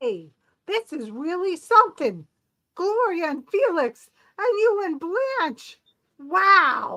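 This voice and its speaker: A woman puts on a squeaky character voice at an extremely high pitch, talking very slowly with long, frequent pauses. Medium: stage play. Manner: exclamatory, boyish enthusiasm.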